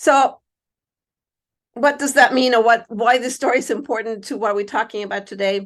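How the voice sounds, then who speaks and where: Against a quiet background, a woman speaks at a moderate pace in a fairly high pitch. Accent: Spanish. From Mexico. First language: Spanish. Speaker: university diversity administrator and psychologist. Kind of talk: keynote speech.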